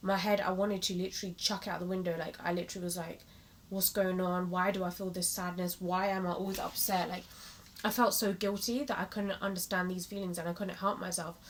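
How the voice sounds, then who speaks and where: Talking at a very fast pace, a woman speaks with a British accent at a medium pitch. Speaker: motivational vlogger. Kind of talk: personal vlog monologue. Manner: animated.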